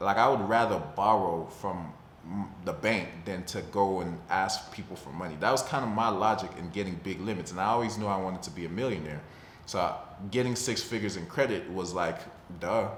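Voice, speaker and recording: A man's fairly low voice with an American accent, ordinary pitch variation, a fairly quick pace and audible room echo. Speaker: personal finance vlogger. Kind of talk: casual talk-to-camera vlog. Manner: fast; casual, conversational.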